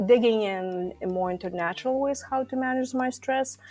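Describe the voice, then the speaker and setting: A woman in a Lithuanian accent talks at a moderate pace with ordinary pitch variation. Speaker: stress management coach. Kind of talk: podcast interview.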